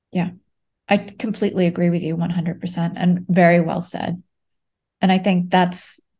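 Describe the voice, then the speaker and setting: A somewhat breathy woman with a fairly low pitch and a dark, mellow tone, speaking at a moderate pace in a monotone, flat manner over a quiet background. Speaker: podcast host. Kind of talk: interview.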